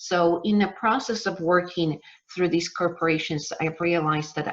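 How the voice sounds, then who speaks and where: A woman speaks in a Polish accent at a moderate pace. Her pitch is fairly low. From Poland. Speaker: business coach. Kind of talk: webinar masterclass. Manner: halting.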